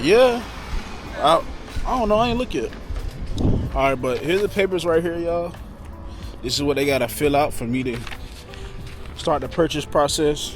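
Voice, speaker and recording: A man with a fairly high pitch uses lively intonation and takes long, frequent pauses. The sound is dry with no echo, and faint music plays in the background. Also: moderate pace. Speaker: vlogger, military service member; vlogger. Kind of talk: casual vlog. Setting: outdoors at dealership. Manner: animated.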